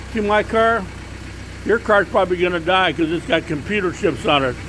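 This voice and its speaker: Animated and high-pitched, a man speaks at a moderate pace with ordinary pitch variation amid noticeable background noise. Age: 60s. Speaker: car enthusiast vlogger. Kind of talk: casual video walkaround. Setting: outdoors at night by his car.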